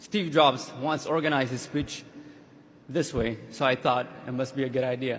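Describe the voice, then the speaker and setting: A man with an Ethiopian accent at medium pitch, fairly quick in pace yet with long, frequent pauses and fairly even intonation. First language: Amharic. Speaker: graduating student. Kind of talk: commencement speech. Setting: stage with audience.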